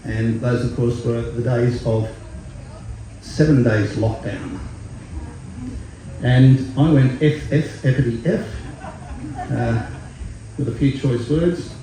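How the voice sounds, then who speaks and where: Noticeable background noise and audible room echo surround a man who speaks very slowly in an Australian accent, at a medium pitch with fairly even intonation. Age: 60s. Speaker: singer-songwriter. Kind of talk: stage banter between songs. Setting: festival stage with audience. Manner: relaxed with many fillers.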